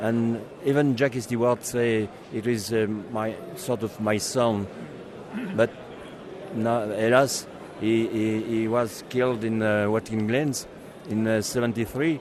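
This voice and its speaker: A man's speech with long, frequent pauses over noticeable background noise. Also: medium pitch for a man, fairly even intonation. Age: 70s. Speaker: racing driver and magazine founder. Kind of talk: interview. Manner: halting, many hesitations.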